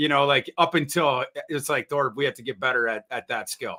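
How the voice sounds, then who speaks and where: A man with a Minnesotan accent, fairly high in pitch, fairly quick in pace, with ordinary pitch variation. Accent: Minnesota. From northern Minnesota (Brainerd). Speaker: NFL draft analyst. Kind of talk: casual interview chat. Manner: halting, repeats words.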